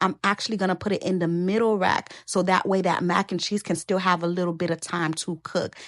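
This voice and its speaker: Animated in tone, a woman speaks at a medium pitch with ordinary pitch variation, in a dry, close sound with no echo. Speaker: cooking channel host. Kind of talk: cooking tutorial. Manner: fast.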